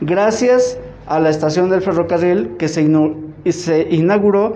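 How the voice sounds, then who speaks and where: A high-pitched man speaks at a fairly slow pace with fairly even intonation. Audible room echo and noticeable background noise are present. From Mexico, Tlaxcala (Santa Ana Chiautempan). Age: 50s. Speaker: painter. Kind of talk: gallery tour talk. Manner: halting.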